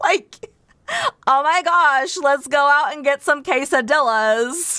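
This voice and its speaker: Projecting her high voice, a woman speaks with a Californian accent. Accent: Californian, Valley Girl-ish. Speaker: VTuber streamer. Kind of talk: live game stream chat.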